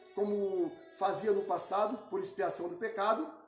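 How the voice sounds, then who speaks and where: Music can be heard behind the voice. The delivery is moderately paced. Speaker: Bible teacher. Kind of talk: Bible study lecture.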